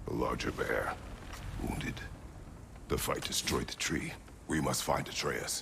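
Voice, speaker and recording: A man uses a put-on character voice at a moderate pace, with long, frequent pauses. Clear background noise runs underneath. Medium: video game. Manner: terse, clipped.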